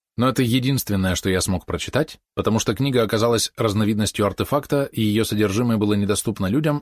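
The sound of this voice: The delivery is an unforced reading voice. Pitch variation is ordinary.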